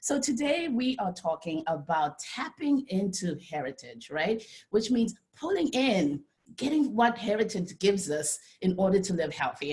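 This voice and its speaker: A woman speaks at a medium pitch and a moderate pace. Her voice is somewhat breathy, with very wide pitch swings. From Zimbabwe. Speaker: dietitian and nutritionist. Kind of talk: presentation talk. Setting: video call. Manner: animated.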